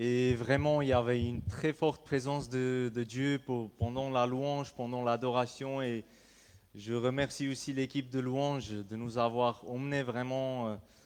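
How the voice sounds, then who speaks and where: With an Armenian accent, a man speaks at a fairly slow pace in a medium pitch, his intonation monotone and flat. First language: Armenian (speaking French). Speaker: pastor. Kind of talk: sermon. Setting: church. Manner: halting.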